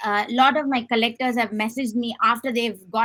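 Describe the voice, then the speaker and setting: Bright and sharp in tone, a woman's voice sits at a fairly high pitch. She speaks with a Tamil accent and fairly even intonation. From southern India, Chennai. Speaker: artist. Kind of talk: interview.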